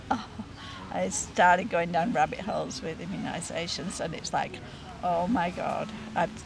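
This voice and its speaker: With an Australian accent, a woman speaks at a moderate pace with long, frequent pauses, amid noticeable background noise and audible room echo. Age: 70s. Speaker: retired nurse. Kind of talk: interview testimony. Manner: halting, with many fillers.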